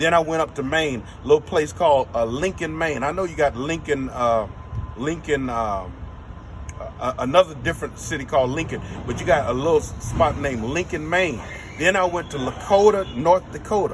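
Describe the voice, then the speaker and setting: A man with an American accent speaks at a moderate pace and a fairly high pitch, using lively intonation. Noticeable background noise is present. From Los Angeles, US West Coast. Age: 60s. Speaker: filmmaker. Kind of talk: interview.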